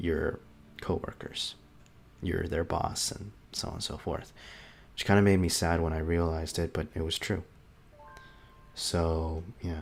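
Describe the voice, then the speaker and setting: Against music in the background, a man with a very deep, low pitch speaks fairly slowly in a flat monotone, with long, frequent pauses. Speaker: YouTuber and amateur voice actor. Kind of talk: casual farewell monologue. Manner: hesitant, many fillers.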